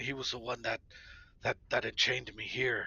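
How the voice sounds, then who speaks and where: Raspy put-on character voice from a man, at a moderate pace. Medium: actual play. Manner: hesitant, stammering.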